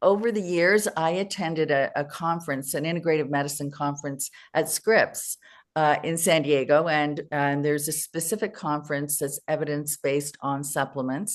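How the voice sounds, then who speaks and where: Against a quiet background, a woman talks at a moderate pace with a very deep, low pitch and ordinary pitch variation. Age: 70s. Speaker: health company co-founder, preventive medicine doctor. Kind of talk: interview. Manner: hesitant with repeated words.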